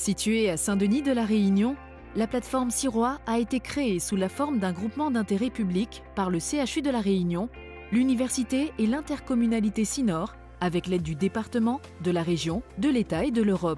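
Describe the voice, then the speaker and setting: Over music in the background, a woman speaks at a moderate pace and medium pitch with lively intonation. Her loudness stays very even. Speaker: voice-over artist. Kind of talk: corporate narration.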